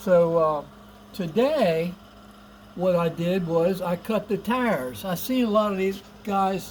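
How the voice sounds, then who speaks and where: A man talks in a high-pitched voice with ordinary pitch variation. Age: 70s. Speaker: RC hobbyist vlogger. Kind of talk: tutorial. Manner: casual, hesitant with many 'uh' fillers.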